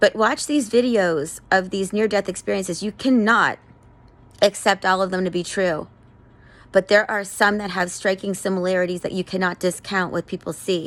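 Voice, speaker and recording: At a moderate pace, a woman speaks in an unremarkable speaking voice at a medium pitch with fairly even intonation. The recording is very clean, with a silent background. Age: 50s. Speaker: vlogger. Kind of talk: personal testimony monologue. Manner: earnest, pleading.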